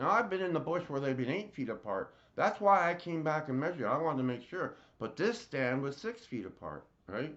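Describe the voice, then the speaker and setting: A man with a Canadian accent, a fairly high pitch and vocal fry, at a fairly quick pace with very wide pitch swings. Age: 60s. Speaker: personal storyteller. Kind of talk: personal testimony. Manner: halting, with frequent fillers.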